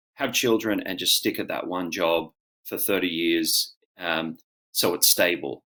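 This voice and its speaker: This man's speech is moderately paced. His accent is Australian. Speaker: actor and auctioneer. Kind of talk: interview answer. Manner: casual, conversational.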